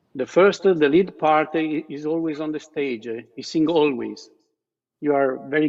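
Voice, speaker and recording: A man speaks with a fairly high pitch and an Italian accent. His pace is moderate. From Italy. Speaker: talent show judge. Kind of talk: judge feedback.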